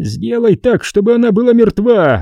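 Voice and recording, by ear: In a put-on character voice, a man growls at a high pitch, with vocal fry and a dark, mellow tone. He speaks at a moderate pace, and the sound is dry and close, with no echo.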